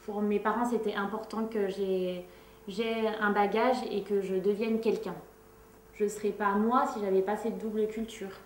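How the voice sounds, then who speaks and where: Amid noticeable background noise and audible room echo, a woman with a fairly high pitch speaks at a fairly slow pace in a monotone, flat intonation. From France. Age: 30s. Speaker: activist. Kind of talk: interview testimony. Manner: hesitant, many fillers.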